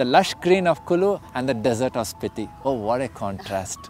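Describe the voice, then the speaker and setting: With faint music in the background, a man's voice comes through with a dry sound and no echo. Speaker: trek company guide or founder. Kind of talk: interview answer. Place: garden.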